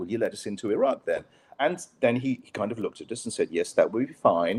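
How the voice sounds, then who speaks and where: A man with a British accent speaks at a fairly quick pace. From British expat, raised mostly abroad. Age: 50s. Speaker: writer and former journalist. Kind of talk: casual interview. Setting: live online show.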